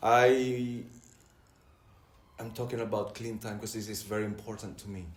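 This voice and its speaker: A man with a non-native accent, recorded with audible room echo. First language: not English. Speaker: recovering addict sharing at a meeting. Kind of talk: testimony. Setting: church hall meeting with audience. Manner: halting, many fillers and repetitions.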